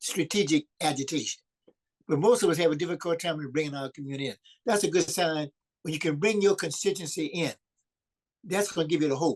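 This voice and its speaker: With a New Orleans accent, a man speaks very fast at a fairly high pitch with ordinary variation, leaving long, frequent pauses, in a dry, close sound with no echo. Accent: Southern US, New Orleans. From US South, New Orleans, Louisiana. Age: 80s+. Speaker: community organizer. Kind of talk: video call discussion. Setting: video call.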